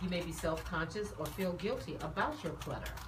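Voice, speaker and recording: The woman's voice carries audible room echo along with noticeable background noise. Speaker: talk show host. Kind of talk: scripted monologue; casual chat.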